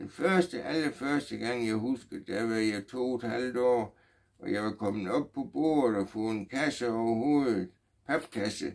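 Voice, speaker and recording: Fairly slow, lively speech from a man with a medium-pitched voice. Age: 60s. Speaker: vlogger. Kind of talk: personal testimony. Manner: halting, many fillers.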